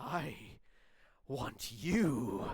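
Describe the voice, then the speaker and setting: A put-on character voice with a menacing tone at a low-to-middle pitch. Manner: menacing, laughing.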